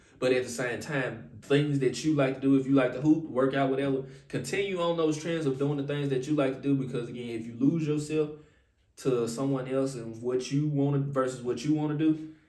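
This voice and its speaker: A man with a fairly high pitch speaks with fairly even intonation, with audible room echo. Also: fairly quick pace. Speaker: relationship advice vlogger. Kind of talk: casual advice monologue. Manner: fast.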